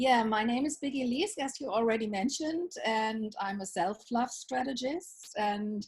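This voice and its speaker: A woman talks fairly slowly with lively intonation. Her voice is somewhat breathy. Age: 60s. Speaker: self-love coach. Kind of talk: interview.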